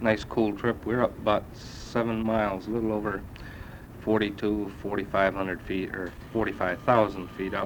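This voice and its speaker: With an American accent, a man speaks at a moderate pace in a fairly low pitch, his intonation monotone and flat. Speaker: US Army sergeant first class serving in Vietnam. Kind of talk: spoken letter to family on cassette. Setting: old cassette recording. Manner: casual, hesitant.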